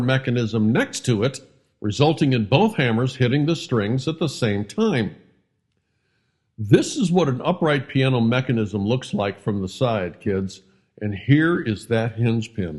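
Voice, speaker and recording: Speaking at a fairly slow pace, a somewhat breathy man with an American accent uses lively intonation. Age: 70s. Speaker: community advocate, street piano restorer. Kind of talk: narration to kids, review of a local business. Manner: playful, avuncular.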